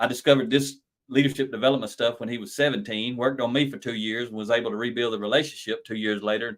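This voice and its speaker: In a Southern US accent, the speech runs at a very fast pace with ordinary pitch variation. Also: man. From US South. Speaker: lean leadership consultant and author. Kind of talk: podcast interview. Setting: live stream.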